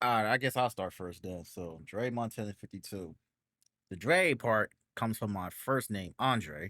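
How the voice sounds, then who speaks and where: Bright and sharp, a man's fairly low voice has lively intonation in a very clean recording with a silent background and a dry, close sound with no echo. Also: moderate pace. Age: 30s. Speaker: podcast host. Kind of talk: casual chat.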